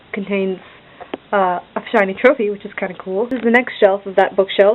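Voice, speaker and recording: Over noticeable background noise, a woman at medium pitch speaks at a fairly quick pace with fairly even intonation. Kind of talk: casual talk to camera. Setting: bedroom. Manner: monotone, deadpan.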